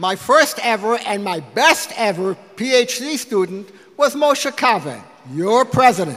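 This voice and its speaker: A man with an American accent speaks fairly slowly at an extremely high pitch, with noticeable background noise. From US Midwest, Detroit. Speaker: physics professor. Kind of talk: speech to donors at a lunch. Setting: lunch event with audience. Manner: halting at times.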